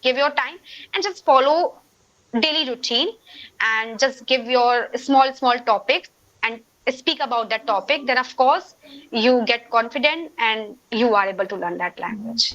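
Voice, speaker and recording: With an Indian accent, a woman speaks at a fairly slow pace in a high pitch. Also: ordinary pitch variation. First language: Hindi. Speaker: English learner guest. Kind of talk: casual conversation practice.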